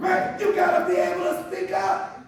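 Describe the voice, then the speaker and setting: A man talks loudly in an animated tone with ordinary pitch variation, with audible room echo and noticeable background noise. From US West Coast, South Central Los Angeles. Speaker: social worker, diversity trainer. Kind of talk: professional development talk.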